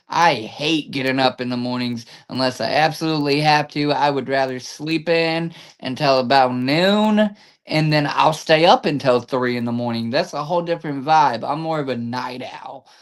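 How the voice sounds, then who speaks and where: A man in a normal speaking voice, pitched fairly high, keeps a moderate pace and ordinary pitch variation. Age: 30s. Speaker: podcast host. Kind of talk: casual chat.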